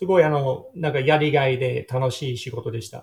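Somewhat breathy, a man speaks with an English accent. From Sydney southern suburbs, Australia. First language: English (speaking Japanese). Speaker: tour operator. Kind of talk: interview. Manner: halting.

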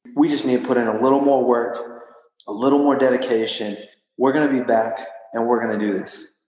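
Fairly quick speech with a Texan accent and fairly even intonation, in audible room echo. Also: man, medium pitch for a man. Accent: Texan American. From West Texas (Odessa). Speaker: strength and conditioning coach, CrossFit athlete. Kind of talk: interview.

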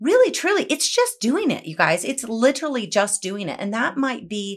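On a very clean recording with a silent background, a woman talks in an animated tone at a moderate pace. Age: 40s. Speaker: entrepreneur and author. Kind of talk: casual chat. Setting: studio, in person.

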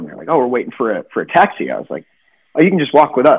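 A man speaks here. His intonation is lively. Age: 30s. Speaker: professional golfer. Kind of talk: casual chat.

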